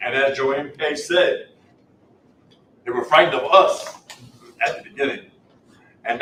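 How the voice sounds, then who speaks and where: A man speaks at a moderate pace with long, frequent pauses and big swings in loudness, and audible room echo surrounds him. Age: 60s. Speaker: former resident, person in recovery. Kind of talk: scripted reading, staged testimony.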